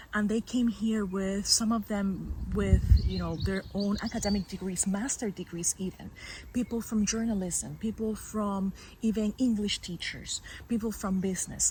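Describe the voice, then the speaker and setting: A woman speaks at a moderate pace in a dark, mellow, somewhat breathy tone. Her intonation is monotone and flat. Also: medium pitch for a woman. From Puerto Rico. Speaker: PhD candidate and former teacher. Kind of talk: podcast interview. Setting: outdoors in meadows. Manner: hesitant, many fillers.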